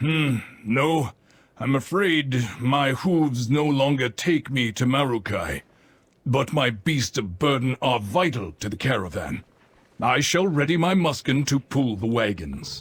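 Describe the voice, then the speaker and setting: A man puts on a character voice at a medium pitch. He speaks at a fairly slow pace. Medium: video game.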